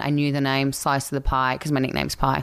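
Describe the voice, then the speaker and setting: In a very clean recording with a silent background, a woman with an Australian accent speaks at a very deep, low pitch. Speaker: actress and coach. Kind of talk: casual chat. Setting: home, condo.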